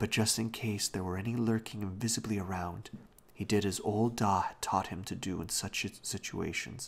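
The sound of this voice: The speaker reads in an unforced reading voice, keeping fairly even intonation.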